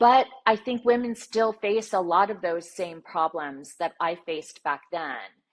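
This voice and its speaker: Talking at a fairly slow pace with ordinary pitch variation, a woman has an unremarkable speaking voice. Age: 60s. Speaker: sports journalist and TV broadcaster. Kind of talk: interview.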